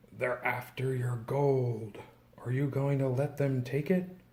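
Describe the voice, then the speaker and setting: A man whispers in a put-on character voice with a hissing sound. His pace is fairly slow. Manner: whispering, tempting.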